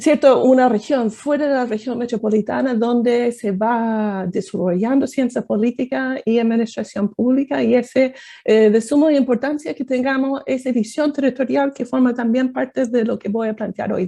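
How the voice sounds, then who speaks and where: A woman with an American accent speaks at a moderate pace with hardly any pauses, her high-pitched voice dark and mellow in tone against a quiet background. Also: ordinary pitch variation. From United States. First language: English (speaking Spanish). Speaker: political science professor. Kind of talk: academic talk. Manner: hesitant, many fillers.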